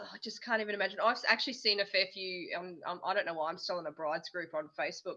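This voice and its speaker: A woman speaks with an Australian accent. Her pace is very fast. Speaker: homesteading channel co-host. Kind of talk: casual chat. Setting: livestream.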